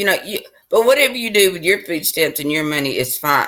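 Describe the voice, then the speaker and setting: Speaking with a Southern US accent, a woman has a bright, sharp tone and very wide pitch swings. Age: 60s. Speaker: vlogger. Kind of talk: casual monologue.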